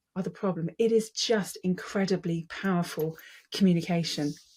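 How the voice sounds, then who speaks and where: Somewhat breathy and passionate, a woman speaks with fairly even intonation on a very clean recording with a silent background. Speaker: public speaking coach. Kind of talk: casual talk to camera. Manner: passionate, emphatic.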